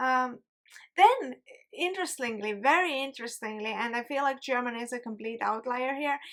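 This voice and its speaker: With an Estonian accent, a woman speaks at a high pitch and a moderate pace with ordinary pitch variation. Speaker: YouTuber. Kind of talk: casual commentary video.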